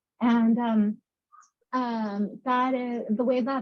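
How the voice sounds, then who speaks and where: A woman with a Russian accent, fairly high-pitched and somewhat breathy, with fairly even intonation. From Moldova. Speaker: panelist. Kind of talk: panel discussion. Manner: halting.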